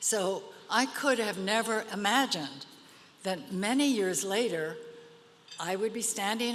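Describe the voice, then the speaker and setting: Over noticeable background noise, a woman with a medium pitch talks at a fairly slow pace with lively intonation. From United States, Virginia. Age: 80s+. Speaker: arts leader, award honoree. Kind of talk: award acceptance speech.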